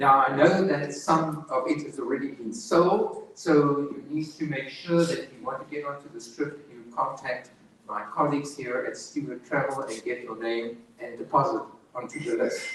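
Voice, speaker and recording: With a strong South African accent, a man speaks at a moderate pace and fairly high pitch, his loudness swinging widely while his pitch varies normally, amid audible room echo and noticeable background noise. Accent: South African, heavy. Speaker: tour operator representative. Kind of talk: sales presentation.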